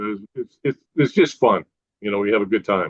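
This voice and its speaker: Talking fairly quickly, a man speaks with an American accent. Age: 60s. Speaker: toy designer and inventor. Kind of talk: interview.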